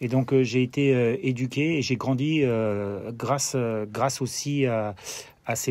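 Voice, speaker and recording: Speaking fairly slowly with a German accent, a man has a dark, mellow tone and a medium pitch with ordinary variation. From Germany (Freiburg, French army garrison). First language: German (speaking French). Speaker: former pro footballer, TV football pundit. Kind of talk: interview. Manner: halting, many fillers and repetitions.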